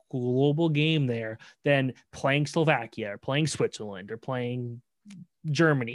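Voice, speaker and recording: With a Canadian accent, an unremarkable speaking voice moves at a moderate pace with fairly even intonation. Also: man. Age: 20s. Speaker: sports journalist. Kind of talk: casual chat.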